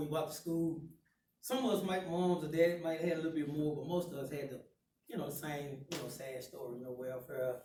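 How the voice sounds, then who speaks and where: A man's voice at a fairly quick pace, with audible room echo. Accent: Southern US. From Chattanooga, Tennessee (US South). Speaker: guest speaker. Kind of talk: life story talk to students.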